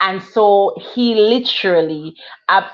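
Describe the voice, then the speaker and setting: With a Jamaican accent, a woman speaks at medium pitch with ordinary pitch variation. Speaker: author. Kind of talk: testimony.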